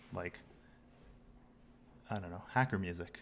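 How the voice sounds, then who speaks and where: A man mumbles. He speaks at a fairly quick pace. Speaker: game developer, technical director. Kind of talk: live coding stream. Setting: livestream. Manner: mumbling.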